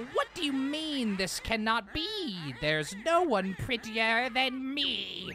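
A put-on character voice at a fairly high pitch runs at a fairly slow pace with hardly any pauses, over clear background noise. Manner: vain, indignant.

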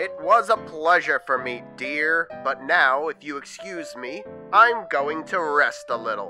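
Faint music plays in the background as a man does a cartoonish character voice at a fairly slow pace. His pitch is fairly high, with a bright, sharp tone and lively intonation.

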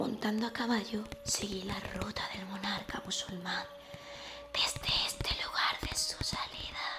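The speaker is a woman who whispers. Her pace is very slow. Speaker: reader of a travel book. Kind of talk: audiobook-style reading aloud. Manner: soft, hushed ASMR storytelling voice.

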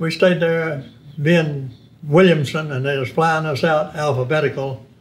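Fairly slow speech from a man with a fairly high, somewhat breathy voice and fairly even intonation. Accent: East Texas. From East Texas. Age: 90s. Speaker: war veteran. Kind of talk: interview.

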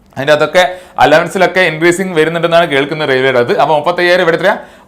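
A man's voice sits high in pitch, and his intonation stays fairly even. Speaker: exam coaching teacher. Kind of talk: online class tutorial. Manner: conversational, repetitive.

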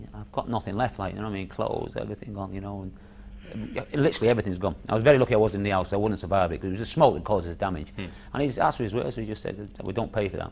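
A very fast-talking man with a fairly low pitch and ordinary pitch variation. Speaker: former footballer; interviewee. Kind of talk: recalled interview on football memories; interview answer. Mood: reflective, incredulous. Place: studio.

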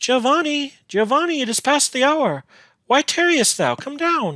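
In a put-on character voice, a man speaks at an extremely high pitch and a moderate pace, on a very clean recording with a silent background. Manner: calling up, urging.

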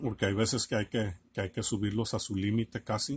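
A somewhat breathy voice at a fairly quick pace. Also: man. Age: 40s. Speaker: electronics repair video creator. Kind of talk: tutorial. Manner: halting, many fillers. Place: workshop. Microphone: camera far.

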